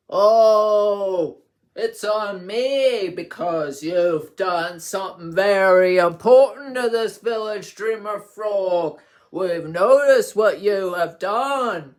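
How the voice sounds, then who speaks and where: A man puts on a character voice, pitched high. He speaks at a very slow pace. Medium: read story. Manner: chatty, repeats "of course".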